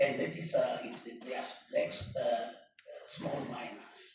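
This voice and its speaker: A man talking at a fairly slow pace is heard with audible room echo. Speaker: acting municipal manager. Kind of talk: council meeting debate. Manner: soft-spoken.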